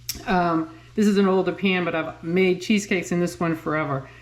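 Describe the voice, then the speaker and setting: A woman with a Massachusetts accent, fairly low in pitch, at a moderate pace with fairly even intonation. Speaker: home cooking channel creator. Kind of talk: cooking tutorial. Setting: home kitchen. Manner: casual, hesitant with fillers.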